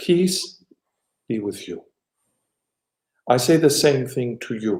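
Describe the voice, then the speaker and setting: With an American accent, a man speaks at a very slow pace in a fairly high pitch. His tone is dark and mellow, and his intonation is lively. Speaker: archbishop. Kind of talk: interview answering questions, blessing message.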